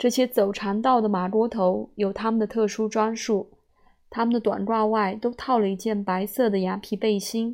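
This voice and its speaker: The intonation stays monotone and flat at a moderate pace. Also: woman, fairly high pitch for a woman. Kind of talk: literary audiobook reading of a memoir essay. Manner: measured, fluent storyteller's pace with dry, wry humor and a nostalgic warmth.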